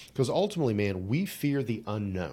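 On a very clean recording with a silent background, a man speaks at a fairly low pitch in an unremarkable speaking voice. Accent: American. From rural Appalachia, West Virginia. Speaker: psychologist and executive coach. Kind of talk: casual interview. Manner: casual, conversational.

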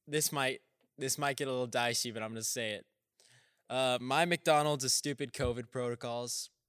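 In a very clean recording with a silent background, a normal speaking voice with an American accent talks at a moderate pace with fairly even intonation and a dry, close sound with no echo. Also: man, medium pitch for a man. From Texas. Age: young. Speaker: podcast co-host, college student. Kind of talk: casual chat.

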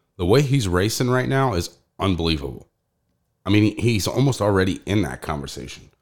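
A fairly low-pitched man with vocal fry and very wide pitch swings, on a very clean recording with a silent background. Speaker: podcast host. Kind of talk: casual podcast chat about local drag racing. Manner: casual, informal, chatty.

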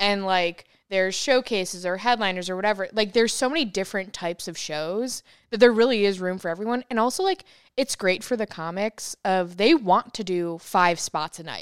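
An ordinary speaking voice moves at a fairly quick pace with ordinary pitch variation, dry and close with no echo on a very clean recording with a silent background. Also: woman, medium pitch for a woman. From New York. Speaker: comedy club manager. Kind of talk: casual chat.

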